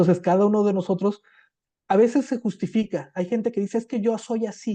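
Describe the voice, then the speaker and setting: Against a quiet background, a man talks at a fairly quick pace in a high pitch, with a dark, mellow tone, fairly even intonation, and a dry, close sound with no echo. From southern Mexico. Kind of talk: panel interview on biblical counseling. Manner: hesitant, frequent fillers.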